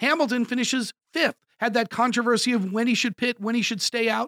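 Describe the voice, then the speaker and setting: On a very clean recording with a silent background, a man with an extremely high pitch speaks in a raised, projected voice, bright and sharp in tone, enthusiastic and fairly quick, with ordinary pitch variation. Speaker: podcast host; also radio show host. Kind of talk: podcast episode preview. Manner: informal, enthusiastic.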